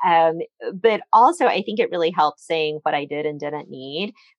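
A woman's unremarkable speaking voice, fairly quick in pace, with lively intonation and a dry, close sound with no echo. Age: 40s. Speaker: cancer survivor, small business owner. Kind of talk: interview testimony.

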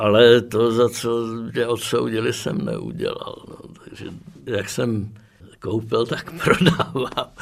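Noticeable background noise fills the clip. Within it, a man talks at a very slow pace. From Prague, Czechia. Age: 80s+. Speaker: former political prisoner and dissident. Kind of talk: oral history interview.

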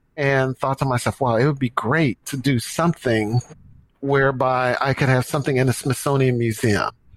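A man talks at a moderate pace with an American accent, his pitch fairly high and his intonation fairly even. It is a normal speaking voice, heard in a dry, close sound with no echo. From US Midwest, St. Louis. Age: 60s. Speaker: marathon coach and business executive. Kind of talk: interview.

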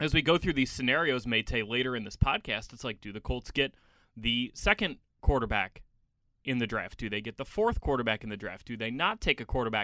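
A man speaks with a bright, sharp tone. He has a slight Chicago accent. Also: dry, close sound with no echo, very clean recording, silent background. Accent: Midwestern US, Chicago, slight. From Chicago, US Midwest. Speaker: team reporter and podcast host. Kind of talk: casual chat.

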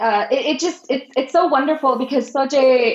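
The pace of this woman's speech is fairly slow. Ordinary variation shows in her pitch. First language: Marathi. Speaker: translator. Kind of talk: casual interview chat.

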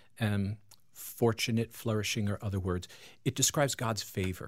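A man with an American accent, fairly low-pitched and somewhat breathy, at a moderate pace, on a very clean recording with a silent background. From Long Island, New York. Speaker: pastor and author. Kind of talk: radio interview.

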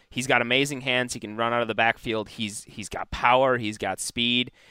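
With a bright, sharp tone, a man speaks in an American accent, the sound dry and close with no echo. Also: very clean recording, silent background. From Wisconsin, US Midwest. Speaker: fantasy football analyst. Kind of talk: casual chat.

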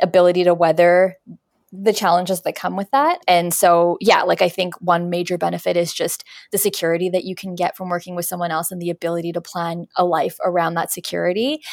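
A woman with a Canadian accent speaks at a fairly quick pace in an ordinary speaking voice. Her pitch sits fairly low, her intonation fairly even, and the recording is very clean with a silent background. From Canada, Winnipeg. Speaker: career coach and resume strategist. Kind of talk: interview.

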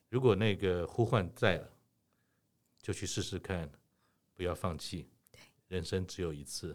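A man's very deep, low voice with ordinary pitch variation, big swings in loudness and long, frequent pauses, in a very clean recording with a silent background. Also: fairly slow pace. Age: 60s. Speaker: podcast host. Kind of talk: interview.

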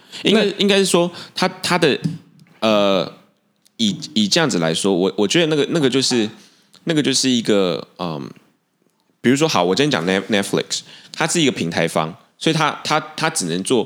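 Speaking at a moderate pace with long, frequent pauses, a man with a Taiwanese accent uses a medium pitch, very wide pitch swings and vocal fry. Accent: Taiwanese Mandarin. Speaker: podcast co-host. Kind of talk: casual chat. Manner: halting.

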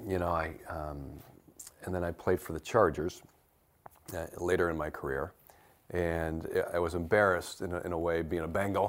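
In a Midwestern American accent, a man with a very deep, low pitch speaks in a monotone, flat way with long, frequent pauses. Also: moderate pace. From US Midwest (Detroit area, Michigan). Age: 50s. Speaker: retired football player. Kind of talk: interview.

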